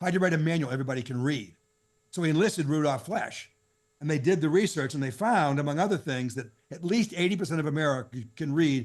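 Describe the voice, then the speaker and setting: A man with a fairly high pitch talks at a very fast pace. His pitch varies in an ordinary way over a quiet background. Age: 70s. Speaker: financial advisor coach. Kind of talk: podcast interview.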